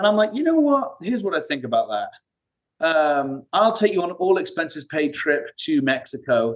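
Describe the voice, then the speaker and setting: High-pitched for a man, this British-accented speaker moves through very wide pitch swings. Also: moderate pace. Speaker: CEO of a recruiting firm. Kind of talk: interview. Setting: video call.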